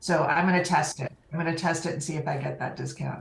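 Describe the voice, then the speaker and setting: Over noticeable background noise, a woman speaks at a fairly quick pace with a General American accent. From California. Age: 50s. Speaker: online community program manager. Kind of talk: interview.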